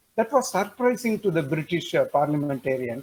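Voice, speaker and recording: A man with a Tamil accent speaks slowly-ish, at a fairly slow pace, his fairly high pitch paired with a dark, mellow tone and lively intonation. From India, Tamil Nadu. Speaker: webinar participant. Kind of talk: webinar discussion comment. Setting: online webinar. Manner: hesitant, with fillers.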